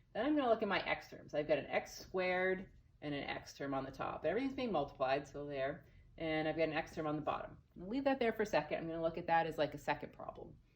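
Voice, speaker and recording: A woman at a very fast pace with a fairly low pitch. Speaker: math teacher. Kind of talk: recorded lesson. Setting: empty classroom. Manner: casual.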